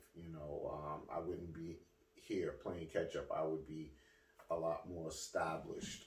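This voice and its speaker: Audible room echo hangs around a man who speaks fairly slowly. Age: 40s. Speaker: ex-street figure telling life story. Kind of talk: interview.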